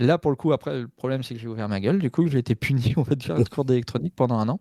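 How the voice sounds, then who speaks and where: A man at medium pitch with a dark, mellow tone, very fast pace and lively intonation, in a very clean, dry, close recording with a silent background and no echo. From Normandy, France. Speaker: hacker, cybersecurity engineer. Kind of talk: casual chat. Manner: hesitant, many fillers.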